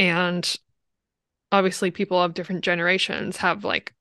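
A woman's bright, sharp voice at medium pitch, flat and monotone, at a moderate pace, against a quiet background in a dry, close recording with no echo. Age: 20s. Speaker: podcast host. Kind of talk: casual chat.

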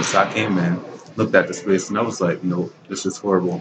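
Noticeable background noise sits behind a man with an American accent. He talks at a very fast pace. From Baltimore, Maryland. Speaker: young entrepreneur, clothing store owner. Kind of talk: interview. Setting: shopping mall.

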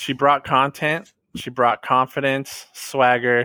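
A man's bright, sharp voice at a fairly slow pace, dry and close with no echo. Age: 30s. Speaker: returning podcast guest. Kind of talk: casual chat.

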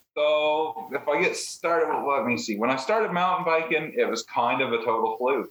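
A man talks at a moderate pace with fairly high pitch and lively intonation, in an ordinary speaking voice. His loudness stays very even, with hardly any pauses. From Nova Scotia, Canada. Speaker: mountain biker guest. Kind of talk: casual interview.

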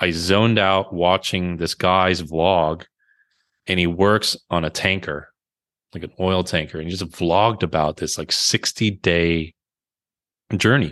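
Long, frequent pauses break up a man's very deep, low voice, which moves at a fairly slow pace with fairly even intonation in dry, close sound with no echo. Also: quiet background. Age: 40s. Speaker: author and brand strategist. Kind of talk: casual chat.

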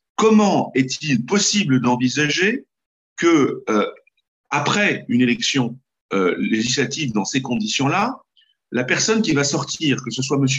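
The pitch swings very widely at a fairly slow pace. Long pauses come often. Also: man, fairly high pitch for a man. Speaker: parliamentary candidate. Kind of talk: political interview.

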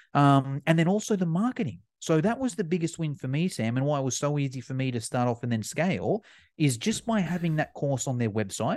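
An animated man with an Australian accent, fairly high-pitched, with very wide pitch swings, a fairly quick pace, hardly any pauses and a quiet background. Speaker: fitness educator. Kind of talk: casual chat.

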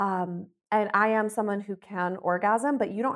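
A woman with a normal speaking voice and an American accent, at a medium pitch and moderate pace with ordinary pitch variation, on a very clean recording with a silent background. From US Midwest, Ohio. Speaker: comedian and sex worker. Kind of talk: casual interview chat.

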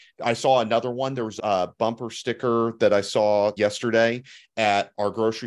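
A man with a Texas accent, fairly low pitch and monotone, flat intonation at a moderate pace against a quiet background. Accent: Southern US (Texas). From Texas Hill Country and Gulf Coast Alabama. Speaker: podcast co-host. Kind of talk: casual chat.

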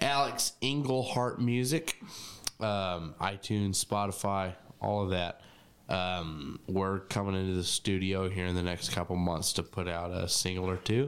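At a fairly slow pace, a man with an American accent speaks at a very deep, low pitch, with ordinary pitch variation and very even loudness. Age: 20s. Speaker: musician. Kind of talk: casual chat.

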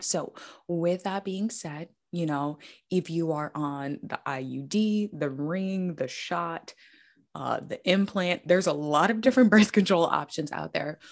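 A woman with a plain, everyday voice talks fairly slowly at a fairly low pitch with ordinary pitch variation. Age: 20s. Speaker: menstrual health coach. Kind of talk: casual interview.

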